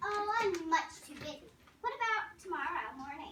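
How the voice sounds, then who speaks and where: In a put-on character voice, a woman squeaks out her words at an extremely high pitch and a moderate pace. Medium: read story. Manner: bright, cheery.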